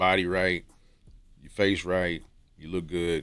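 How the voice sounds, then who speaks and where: A man's voice, pitched very deep and low, moves along at a moderate pace. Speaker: YouTuber giving dating and self-improvement advice. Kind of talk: casual monologue to camera. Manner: casual, repetitive with many fillers.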